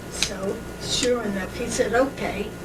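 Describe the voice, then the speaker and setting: A woman with an American accent speaks at a fairly high pitch with ordinary pitch variation over noticeable background noise. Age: 80s+. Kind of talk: family reminiscence.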